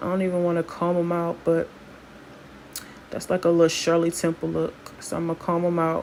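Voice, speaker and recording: A woman's fairly low, monotone, flat voice in a relaxed tone at a fairly quick pace, with long, frequent pauses and noticeable background noise. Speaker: hair stylist and wig seller. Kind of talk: tutorial. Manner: casual, relaxed.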